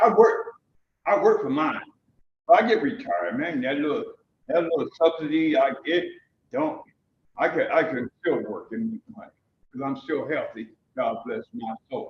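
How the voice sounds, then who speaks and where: With an American accent, a man speaks with very wide pitch swings and big swings in loudness. He leaves long, frequent pauses. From New Haven, Connecticut. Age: 70s. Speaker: member of the public at a council hearing. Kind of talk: public testimony. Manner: animated.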